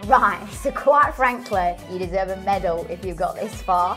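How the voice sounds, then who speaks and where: With clear music in the background, a woman speaks at a medium pitch and a moderate pace with lively intonation. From Northern England. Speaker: TV presenter. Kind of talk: casual talk to camera.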